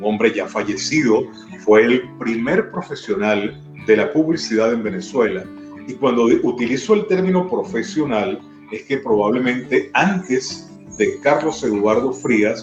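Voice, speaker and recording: A man of medium pitch at a fairly slow pace, with very wide pitch swings and music in the background. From Maracay, Venezuela. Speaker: radio announcer. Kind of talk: interview answer.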